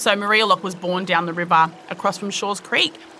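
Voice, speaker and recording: A woman with an Australian accent, medium pitch and fairly even intonation, over noticeable background noise. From Richmond, New South Wales, Australia. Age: 30s. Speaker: midwife. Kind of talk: interview.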